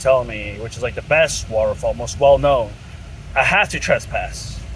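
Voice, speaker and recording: A man is talking amid noticeable background noise. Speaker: hiking vlogger. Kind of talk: casual vlog narration. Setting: outdoors. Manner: whispering.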